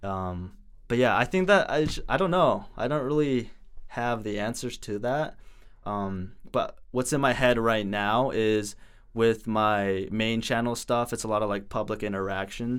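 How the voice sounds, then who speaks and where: A man's fairly slow, medium-pitched delivery in a normal speaking voice, with ordinary pitch variation. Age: 20s. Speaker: social media creator and student. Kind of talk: casual interview.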